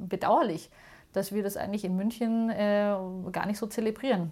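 An ordinary speaking voice from a woman at medium pitch, with moderate pace and fairly even intonation, in a very clean recording with a silent background. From Munich, Bavaria. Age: 40s. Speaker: museum founder. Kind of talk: interview.

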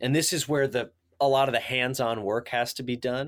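In a very clean recording with a silent background, a man with an American accent speaks at a medium pitch. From US Midwest, southern Illinois (Carbondale). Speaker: climbing organization president. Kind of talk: interview.

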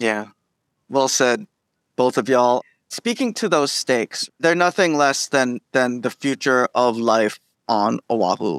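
A man with a plain, everyday voice speaks at a medium pitch and a fairly slow pace, with lively intonation and very even loudness. The sound is dry and close with no echo, in a very clean recording with a silent background. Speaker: community organizer. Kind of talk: interview.

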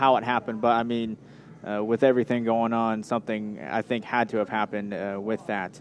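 This is a man with an unremarkable speaking voice at a medium pitch. He talks at a fairly quick pace with fairly even intonation. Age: 20s. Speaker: local sports radio host. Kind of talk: sports interview show. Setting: live broadcast from a pizza restaurant.

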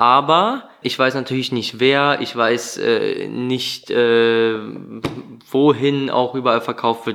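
A man speaks at a fairly slow pace with fairly even intonation. His tone is bright and sharp. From Düsseldorf, Germany. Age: 20s. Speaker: painter. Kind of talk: interview.

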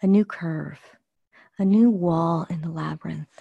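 A dark, mellow, gentle, soothing tone comes through, somewhat breathy, with ordinary pitch variation. The sound is dry and close with no echo. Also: woman. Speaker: meditation guide. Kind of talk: guided meditation. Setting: live group call. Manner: slow, soothing, calm and unhurried; gentle, dreamy with pauses.

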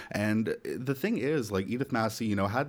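A man with a Canadian accent and an unremarkable speaking voice talks at a moderate pace on a very clean recording with a silent background. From Nova Scotia, Canada. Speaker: podcaster. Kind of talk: casual chat.

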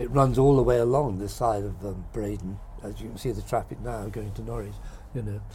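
At a moderate pace, a man with a Norfolk accent talks amid audible room echo. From Great Yarmouth, Norfolk, eastern England. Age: 70s. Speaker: painter. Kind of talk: casual interview. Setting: outdoors, bird watching hide.

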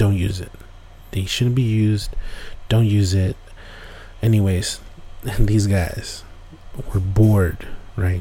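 Through noticeable background noise, a man with a fairly low pitch speaks at a very slow pace in a monotone, flat intonation, leaving long, frequent pauses. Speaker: podcast host. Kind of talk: campfire-style ghost story telling, casual and conversational with asides to listeners.

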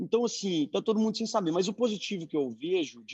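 A plain, everyday voice at a fairly quick pace, with lively intonation and a dry, close sound with no echo. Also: man. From Brazil, Belo Horizonte. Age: 30s. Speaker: beverage entrepreneur. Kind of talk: online panel discussion.

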